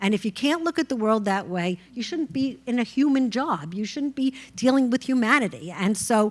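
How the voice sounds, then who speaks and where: Lively in intonation, a woman speaks at a fairly quick pace on a very clean recording with a silent background. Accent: New York. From New York. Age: 60s. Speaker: judge. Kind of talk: panel discussion.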